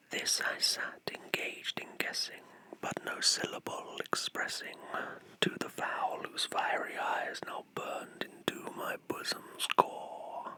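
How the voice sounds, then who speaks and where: Whispering at a very slow pace, a man is heard over noticeable background noise. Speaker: Satanic chaplain and ASMR creator. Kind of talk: poetry reading, ASMR. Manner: whispered.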